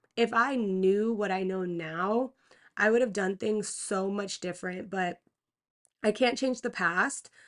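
In an unremarkable speaking voice, a woman with an American accent talks at a medium pitch and a fairly slow pace, using ordinary pitch variation against a quiet background. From Pennsylvania. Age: 20s. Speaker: podcast host. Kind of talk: testimony. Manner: casual.

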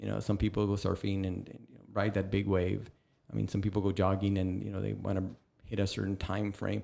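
Talking at a very fast pace, a man with a South Texas accent has a fairly low pitch. His tone is dark and mellow, and his intonation fairly even. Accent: South Texas, Rio Grande Valley. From South Texas (Rio Grande Valley, Rio Grande City). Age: 50s. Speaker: housing authority director. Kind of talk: casual interview. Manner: halting, frequent repetitions.

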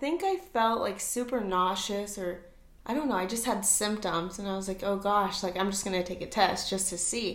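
A woman with a Californian accent speaks at medium pitch with ordinary pitch variation, amid noticeable background noise and audible room echo. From Southern California. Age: 20s. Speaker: young mother and esthetician. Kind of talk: casual interview chat.

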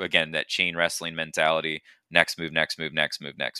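On a very clean recording with a silent background, a man speaks with an American accent. His tone is bright and sharp, his pace moderate. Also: dry, close sound with no echo. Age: 20s. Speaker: middle school teacher and wrestling coach. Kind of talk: casual interview. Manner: halting.

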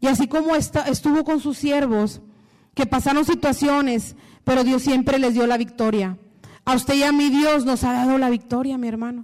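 The background is silent on this very clean recording. The words come at a moderate pace. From Mexico. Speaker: pastor. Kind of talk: sermon. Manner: halting.

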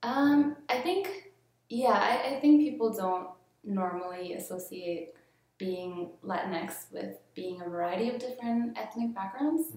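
A woman of medium pitch with a slight Canadian accent, lively intonation and a fairly slow pace. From Colombia. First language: Spanish. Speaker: graphic designer and artist. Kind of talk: casual interview chat.

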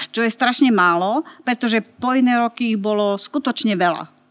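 Over a quiet background, a woman uses an ordinary speaking voice at a moderate pace with ordinary pitch variation. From Slovakia, Martin. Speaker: photography teacher. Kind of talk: interview.

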